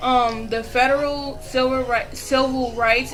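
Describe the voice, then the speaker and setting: Over music in the background, a woman speaks with monotone, flat intonation and audible room echo. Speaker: video blogger. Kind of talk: casual commentary. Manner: fast.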